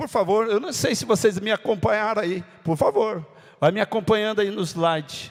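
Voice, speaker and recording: This man's high pitch shows ordinary variation as he talks at a moderate tempo. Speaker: pastor. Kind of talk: sermon.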